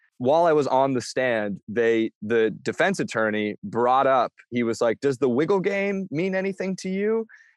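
Against a quiet background, a speaker with an American accent keeps a very even loudness while the pitch swings very widely. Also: man, medium pitch for a man, moderate pace, hardly any pauses. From US Pacific Northwest (Bainbridge Island, Washington). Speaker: comedian. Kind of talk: casual interview.

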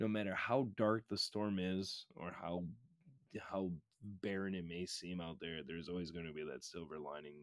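A man's very deep, low voice in an American accent, at a moderate pace with ordinary pitch variation. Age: 20s. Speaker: podcaster and record label member. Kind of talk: casual chat.

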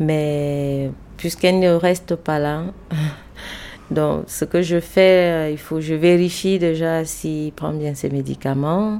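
Very slowly, a woman speaks in a very deep, low pitch with a dark, mellow tone and fairly even intonation. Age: 30s. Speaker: family caregiver. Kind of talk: testimony.

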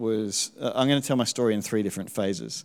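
Fairly low male pitch, fairly even intonation, on a very clean recording with a silent background. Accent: Australian. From Tasmania, Australia. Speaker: church member. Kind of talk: testimony.

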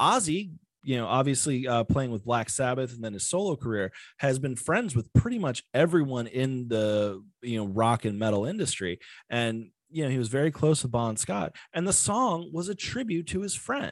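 A man with an American accent speaks at a medium pitch and a moderate pace, his tone animated and his intonation lively, over a quiet background. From Virginia, US (Virginia Beach area). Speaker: podcast host. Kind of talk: casual solo podcast monologue.

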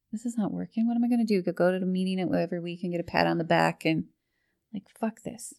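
In a Newfoundland accent, a woman speaks at a very fast pace, medium in pitch, with ordinary pitch variation. The recording is very clean with a silent background, and its sound is dry and close with no echo. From Newfoundland, Portugal Cove South. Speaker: person in addiction recovery. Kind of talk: personal recovery testimony. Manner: hesitant, with many fillers.

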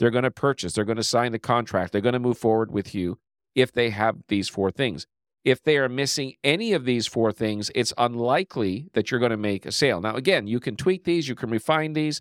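A man talks in an ordinary speaking voice at a medium pitch and a fairly quick pace. His pitch variation is ordinary, and the very clean recording has a silent background and a dry, close sound with no echo. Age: 50s. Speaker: sales coach. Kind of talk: solo podcast talk on sales. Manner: conversational.

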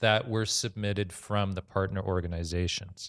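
The recording is very clean, with a silent background. A man talks at a moderate pace with fairly even intonation. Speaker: panel moderator, film society director. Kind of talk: panel moderation. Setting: live panel with audience. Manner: speaks unamplified to audience.

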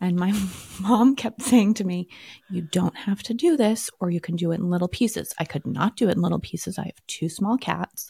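A woman with a fairly low, somewhat breathy voice and a dark, mellow tone speaks at a moderate pace with lively intonation in a very clean recording with a silent background. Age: 40s. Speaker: podcast co-host. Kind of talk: casual chat.

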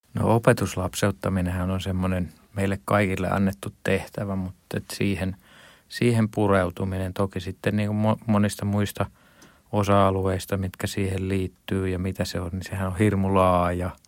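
This man talks at a moderate pace in a very deep, low pitch with monotone, flat intonation. The recording is very clean, with a silent background. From Finland, partly raised in Estonia. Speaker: pastor. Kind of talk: radio interview. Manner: halting, many fillers.

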